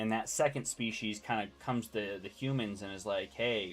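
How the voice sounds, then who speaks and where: A man's fairly low-pitched voice, a normal speaking voice, at a fairly quick pace with fairly even intonation. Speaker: gaming streamer. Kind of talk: casual chat.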